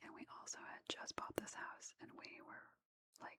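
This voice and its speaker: A woman is whispering. The sound is dry and close, with no echo. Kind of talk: casual ASMR storytime to camera. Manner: soft-spoken; relaxed, casual.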